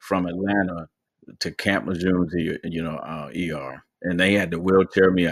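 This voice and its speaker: A very deep, low male voice with an American accent and vocal fry, fairly even in intonation, on a very clean recording with a silent background. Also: moderate pace. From Michigan, US (Pontiac / Auburn Hills). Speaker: retired Marine sergeant major and podcast host. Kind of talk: interview, personal testimony.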